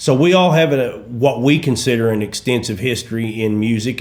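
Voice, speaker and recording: A Southern accent comes through with audible room echo. The pace is fairly quick. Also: man. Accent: Southern, like Kentucky. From east central Oklahoma. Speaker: gospel musician. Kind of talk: interview. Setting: studio.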